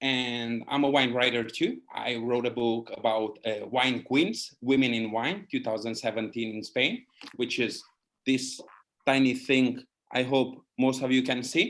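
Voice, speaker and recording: A man speaks with a Hungarian accent. His pace is fairly slow. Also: medium pitch for a man, fairly even intonation. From Hungary. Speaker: wine writer and educator. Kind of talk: casual chat.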